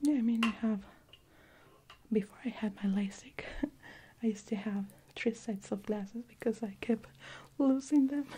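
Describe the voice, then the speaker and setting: A soft-spoken woman with a gentle, dark, mellow tone, somewhat breathy, at a moderate pace with long, frequent pauses over light background noise. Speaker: optician role-play host. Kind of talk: soft role-play talk to viewer. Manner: soft, gentle ASMR murmur. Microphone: studio mic.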